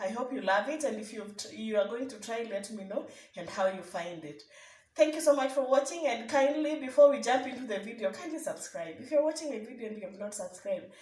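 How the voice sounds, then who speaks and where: There is audible room echo as a woman talks very fast at a fairly high pitch, with lively intonation and big swings in loudness. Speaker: cooking vlogger. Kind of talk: cooking tutorial.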